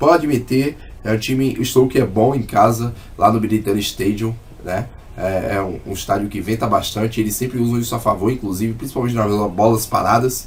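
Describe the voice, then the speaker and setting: Speaking fairly quickly, a man with a normal speaking voice keeps a medium pitch and fairly even intonation. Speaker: sports betting tipster. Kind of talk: sports betting analysis monologue. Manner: casual.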